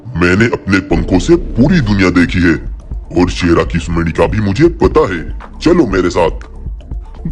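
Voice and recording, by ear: A cartoonish character voice moves at a fairly slow pace. Clear music plays in the background. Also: man.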